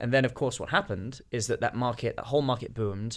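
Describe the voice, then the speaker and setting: A man with a British accent speaks very fast at a medium pitch. His pitch varies in an ordinary way. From Britain. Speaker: watch dealer, company founder. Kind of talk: casual interview.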